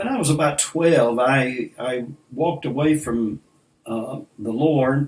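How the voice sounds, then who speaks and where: At a very slow pace, a man in a Southern US accent talks with a fairly high pitch and ordinary pitch variation. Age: 70s. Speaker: preacher. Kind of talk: interview. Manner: halting.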